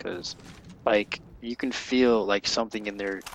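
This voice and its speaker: The speaker has an American accent and keeps a moderate pace with fairly even intonation. Background noise is noticeable. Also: man. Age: young. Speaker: gamer. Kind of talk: casual chat. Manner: halting, many fillers.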